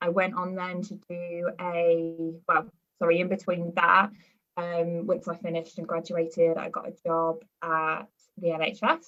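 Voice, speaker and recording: With a Birmingham accent, a woman speaks at a fairly low pitch and a fairly slow pace, her intonation monotone and flat. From West Midlands, Birmingham area. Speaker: performance nutritionist and university lecturer. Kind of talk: podcast interview. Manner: hesitant, many fillers.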